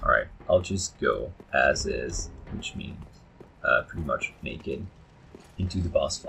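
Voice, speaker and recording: A man talks at a fairly slow pace. There is noticeable background noise behind him. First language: not English. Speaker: gaming YouTuber. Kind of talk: gameplay commentary. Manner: halting, many fillers.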